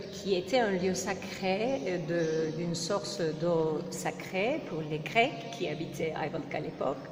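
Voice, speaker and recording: Amid noticeable background noise and audible room echo, a woman with a Turkish accent talks at a very slow pace in a fairly low voice with ordinary pitch variation. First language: Turkish (speaking French). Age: 40s. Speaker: interviewee. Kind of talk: interview. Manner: halting.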